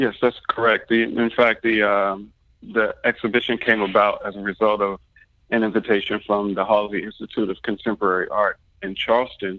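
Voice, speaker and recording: Flat, monotone intonation marks this man's fairly low voice. He speaks at a fairly quick pace. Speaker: artist and scholar. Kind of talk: interview. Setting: phone call. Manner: halting, many fillers.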